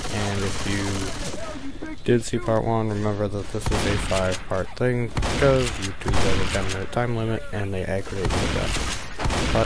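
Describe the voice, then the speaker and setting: Speech moves at a fairly slow pace with hardly any pauses. Noticeable background noise runs underneath. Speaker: gamer. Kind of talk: casual gameplay commentary. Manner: rambling, halting, casual.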